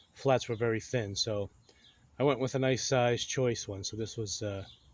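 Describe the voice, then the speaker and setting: Somewhat breathy and medium-pitched, a man speaks at a moderate pace with fairly even intonation. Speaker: BBQ cooking YouTuber. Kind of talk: casual cooking tutorial. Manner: hesitant, many fillers.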